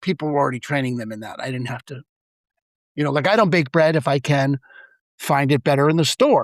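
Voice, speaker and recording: A man with a New York accent talks at a very fast pace, broken by long, frequent pauses. His loudness swings widely, and the sound is dry and close with no echo. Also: fairly high pitch for a man, ordinary pitch variation. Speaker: real estate broker and mindfulness speaker. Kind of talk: podcast interview.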